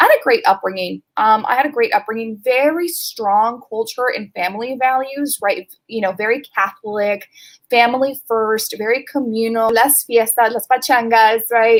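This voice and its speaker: With a Californian accent, a woman talks at a moderate pace with hardly any pauses, using a fairly high pitch and ordinary pitch variation. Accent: Californian American English. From Los Angeles, California (Pasadena). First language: Spanish. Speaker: sales strategy manager. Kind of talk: interview.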